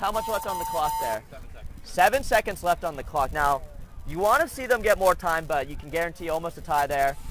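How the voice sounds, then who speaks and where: Over noticeable background noise, a man with a high voice talks at a fairly quick pace with lively intonation and big swings in loudness. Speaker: paintball commentator. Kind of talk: live commentary. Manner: animated.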